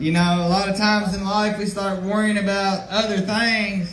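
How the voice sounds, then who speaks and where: This man speaks loudly at a moderate pace with a high pitch and fairly even intonation. Room echo is audible. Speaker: recovery counselor. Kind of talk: public speech.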